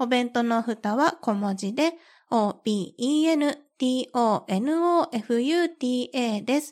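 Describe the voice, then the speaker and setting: On a very clean recording with a silent background, a woman speaks at a very slow pace with a high pitch and lively intonation. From Kansai, western Japan. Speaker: podcast host. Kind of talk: casual solo chat. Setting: recording at home. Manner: relaxed, laid-back.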